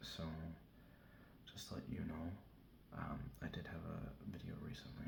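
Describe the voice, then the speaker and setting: Whispering in a relaxed tone, a man speaks at a fairly slow pace. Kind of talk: ASMR soft-spoken ramble to camera. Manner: soft-spoken, relaxed.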